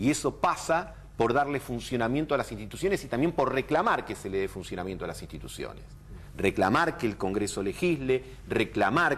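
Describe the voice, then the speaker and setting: Lively in intonation and marked by vocal fry, a man talks at a fairly quick pace and medium pitch. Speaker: political commentator. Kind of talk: TV political interview.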